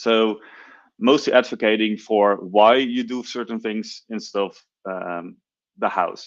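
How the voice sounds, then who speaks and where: A man's medium-pitched voice with a Dutch accent, fairly slow and fairly even in intonation, over a quiet background. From Netherlands. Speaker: software engineer, conference speaker. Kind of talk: technical talk.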